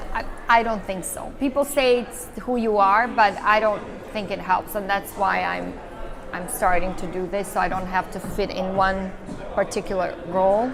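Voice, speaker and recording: Noticeable background noise sits behind a woman speaking at a medium pitch with an American accent. Her pace is moderate and her pitch varies in an ordinary way. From Serbia. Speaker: actress and filmmaker. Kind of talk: interview.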